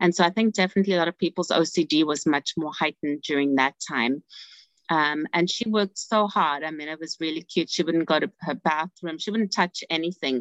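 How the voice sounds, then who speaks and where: Someone with a South African accent talks at a fairly quick pace, with ordinary pitch variation. The sound is dry and close, without echo. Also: woman, fairly low pitch for a woman. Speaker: family therapist. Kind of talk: interview.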